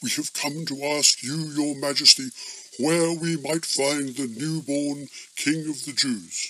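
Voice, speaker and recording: A man does a cartoonish character voice, fairly high-pitched, at a fairly slow pace. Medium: puppet. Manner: formal, polite.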